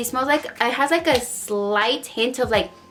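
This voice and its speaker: Over noticeable background noise, a woman talks at a high pitch with ordinary pitch variation. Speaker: beauty vlogger. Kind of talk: casual product haul vlog. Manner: animated.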